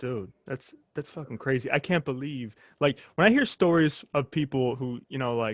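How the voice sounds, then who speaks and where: A man with an American accent speaks in an ordinary speaking voice at a moderate pace, his medium pitch showing ordinary variation, with a dry, close sound, no echo and a quiet background. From United States. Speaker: podcast host. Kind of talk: casual interview chat.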